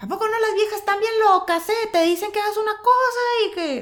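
A put-on character voice at an extremely high pitch and a fairly quick pace. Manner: joking, macho.

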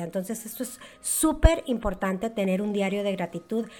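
In a very clean recording with a silent background, a woman with a fairly high, somewhat breathy voice talks at a moderate pace with ordinary pitch variation. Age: 40s. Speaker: network marketer. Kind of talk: interview.

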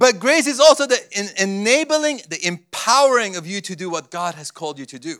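A man's high-pitched, bright, sharp voice with very wide pitch swings and big swings in loudness. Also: fairly slow pace. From Cyprus, Armenian family, born in Beirut. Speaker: guest preacher. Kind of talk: sermon with live interpretation. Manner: short phrases paused for interpreter.

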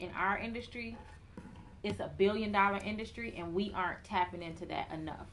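This woman has an ordinary speaking voice, medium in pitch, with an American accent. She talks at a fairly quick pace with fairly even intonation. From Chicago. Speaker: hairstylist and salon owner. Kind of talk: interview.

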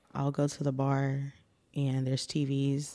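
Against a quiet background, a woman with an American accent speaks in a dark, mellow tone. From Austin, Texas. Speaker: podcast guest, recent graduate. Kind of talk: casual chat.

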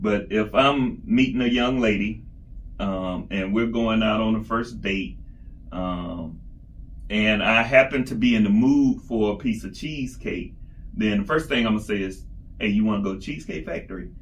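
With an American accent, a man speaks at a moderate pace in a fairly low pitch with ordinary pitch variation, and the room echo is audible. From South Georgia (Albany), US South. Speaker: podcast co-host. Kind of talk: casual chat. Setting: studio, recording in person in Atlanta.

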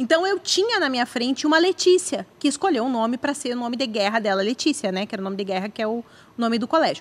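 A woman speaks very fast at a high pitch. Her pitch swings are very wide. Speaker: podcast co-host. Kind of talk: casual chat. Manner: talkative, playful.

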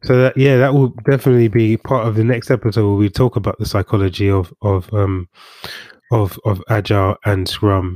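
With a very clean recording, a silent background and a dry, close sound with no echo, a man talks at a fairly quick pace in an unremarkable speaking voice, fairly low in pitch and fairly even in intonation. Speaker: podcast host. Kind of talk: casual interview chat.

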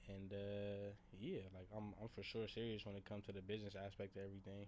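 A man's voice, fairly low in pitch. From Los Angeles, California. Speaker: co-host, clothing brand owner. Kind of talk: casual chat.

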